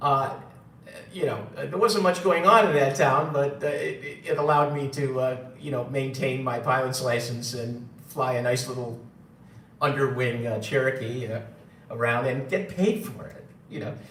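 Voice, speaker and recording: Speaking in a New York accent at a medium pitch and moderate pace, a man shows ordinary pitch variation, with noticeable background noise and audible room echo. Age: 60s. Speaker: gold seller and former radio engineer. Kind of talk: live stream talk. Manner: halting, many fillers.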